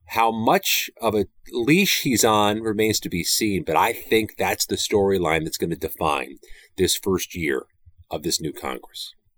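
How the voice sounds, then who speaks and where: A man's fairly low voice with vocal fry, a fairly slow pace, and a dry, close sound with no echo. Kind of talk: interview. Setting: remote from Capitol Hill.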